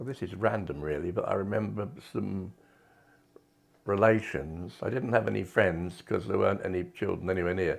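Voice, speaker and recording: A man with a southern English accent speaks at very deep, low pitch with vocal fry. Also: ordinary pitch variation, moderate pace. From southern England, Kent. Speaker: retired art teacher and artist. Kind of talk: personal reminiscence interview. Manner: halting, with frequent fillers.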